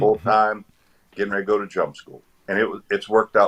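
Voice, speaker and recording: This man's voice comes through dry and close with no echo, carrying an American accent. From Virginia, Eastern Shore. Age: 50s. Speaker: retired army veteran. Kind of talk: casual interview chat.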